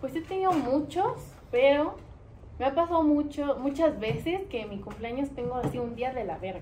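Her voice is high-pitched, and this woman keeps a moderate pace over noticeable background noise. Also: lively intonation. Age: 20s. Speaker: podcast guest. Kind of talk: casual chat.

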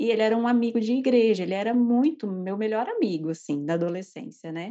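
A woman speaks fairly quickly with ordinary pitch variation. It is a plain, everyday voice. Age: 30s. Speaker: nurse and tarot reader. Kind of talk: personal testimony.

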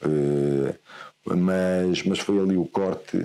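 This man's voice has a very deep, low pitch and a dark, mellow tone. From northern Portugal, Guimarães. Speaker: football coach. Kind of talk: interview. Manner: halting, many repetitions and fillers.

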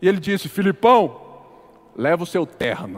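There is noticeable background noise. A man's voice comes through over it. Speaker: pastor. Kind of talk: sermon.

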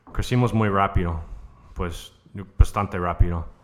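An American-accented man's voice, fairly low in pitch. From United States. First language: English (speaking Spanish). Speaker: brewer. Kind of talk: interview. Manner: halting.

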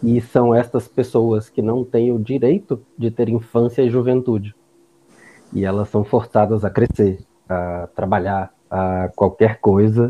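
A man's ordinary speaking voice at medium pitch, fairly slow, with fairly even intonation. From Bahia, Brazil (Barreiras, western Bahia). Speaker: psychiatrist. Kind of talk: casual chat.

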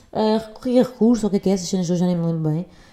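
A woman talks at a very fast pace in a dark, mellow tone with ordinary pitch variation. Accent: European Portuguese. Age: 20s. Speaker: podcast host. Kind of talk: casual monologue. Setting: at home on sofa.

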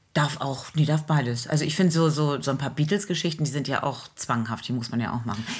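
The voice is somewhat breathy and moves at a very fast pace. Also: woman, very deep, low pitch for a woman, ordinary pitch variation, hardly any pauses. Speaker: teacher, singer and podcast co-host. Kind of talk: casual chat.

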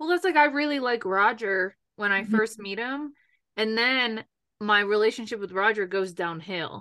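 Her tone bright and sharp, a woman speaks in a fairly high pitch with lively intonation. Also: moderate pace, quiet background. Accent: American. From New York. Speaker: podcast host. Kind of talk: casual chat.

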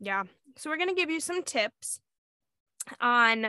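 A loud woman's voice at a moderate pace, bright and sharp in tone, with very wide pitch swings, in dry, close sound with no echo and a quiet background. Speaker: podcast co-host, mom. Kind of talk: casual chat.

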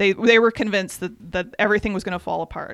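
A woman speaks with an American accent at medium pitch and fairly even intonation. The recording is very clean, with a silent background. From US Midwest. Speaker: podcast host. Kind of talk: casual podcast narration and chat. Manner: conversational, hesitant with fillers.

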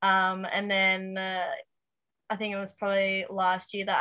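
Her pitch medium, a woman with an Australian accent talks at a fairly slow pace. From Tasmania, Australia. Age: 20s. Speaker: aspiring race car driver. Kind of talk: casual interview chat. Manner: hesitant, many fillers.

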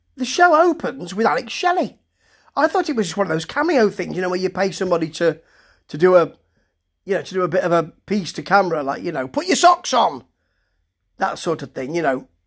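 At a fairly quick pace, the speech comes in a British accent on a very clean recording with a silent background. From Britain. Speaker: wrestling show reviewer. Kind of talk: solo review monologue. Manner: hesitant, full of fillers; casual, chatty.

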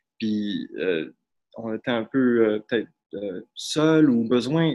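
Delivered very slowly, the speech keeps its intonation fairly even. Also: man. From Quebec, Saguenay. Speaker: student and slam poet. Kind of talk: casual chat. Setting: performance hall, on video call.

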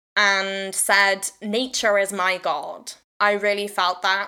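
Recorded very cleanly against a silent background, a woman with a South Wales accent talks at a medium pitch. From South Wales, Swansea. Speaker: podcast host and witchcraft teacher. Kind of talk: casual solo talk. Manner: rambling, hesitant with fillers.

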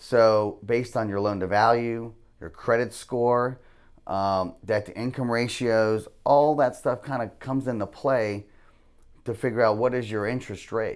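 Fairly slow and fairly even in intonation, a man speaks at medium pitch in an unremarkable speaking voice with an American accent. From US South. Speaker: mortgage lender. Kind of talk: casual interview.

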